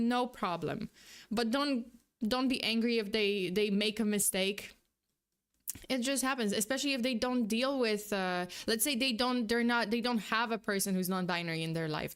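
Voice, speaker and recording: A woman with a non-native accent speaks at a fairly high pitch with very even loudness. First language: not English. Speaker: vtuber streamer reacting to videos. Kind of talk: live stream reaction commentary. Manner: halting, many fillers and restarts.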